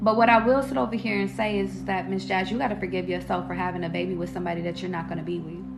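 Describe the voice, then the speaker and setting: Over music in the background, a woman talks at a very fast pace in an animated tone, with audible room echo. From Denver. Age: 20s. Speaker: tarot reader and livestream host. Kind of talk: live stream chat answering viewer comments.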